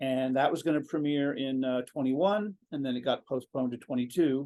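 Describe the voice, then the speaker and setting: Fairly high pitch from a man, ordinary pitch variation, fairly quick pace. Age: 60s. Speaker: composer. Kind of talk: interview. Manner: halting.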